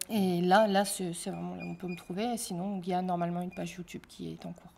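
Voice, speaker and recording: A woman talks at a very fast pace. Her loudness swings a lot. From northern France, Amiens (Somme). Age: 30s. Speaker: singer. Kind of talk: interview. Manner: hesitant, many fillers.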